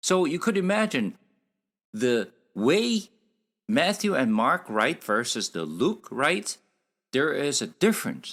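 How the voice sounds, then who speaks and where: Very wide pitch swings and long, frequent pauses mark this speaker with a non-native accent, heard on a very clean recording with a silent background. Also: man, high pitch for a man. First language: Korean. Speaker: Bible teacher. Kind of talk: Bible study lecture. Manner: halting, with fillers.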